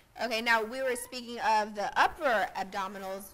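A woman speaks at a fairly high pitch with a fairly bright tone. Her pitch moves in an ordinary way. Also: moderate pace.

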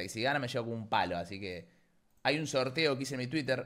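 A man's bright, sharp voice against a quiet background. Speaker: esports commentator and streamer. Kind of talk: live esports play-by-play commentary, rapid-fire and hyped. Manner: informal, slangy, chatty with the audience. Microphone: headset.

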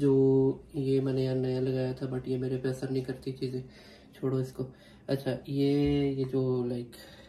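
Against light background noise, a man speaks at a fairly slow pace with a dark, mellow tone and a somewhat breathy sound. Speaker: vlogger. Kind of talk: casual vlog chat.

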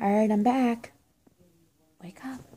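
A woman speaks in a somewhat breathy voice. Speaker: role-play host. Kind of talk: role-play talk to viewer. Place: home room. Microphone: phone near.

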